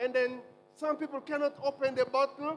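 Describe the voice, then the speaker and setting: A man speaks at a fairly slow pace. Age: 60s. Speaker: medical doctor, guest health speaker. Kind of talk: health talk in church service. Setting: church. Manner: animated.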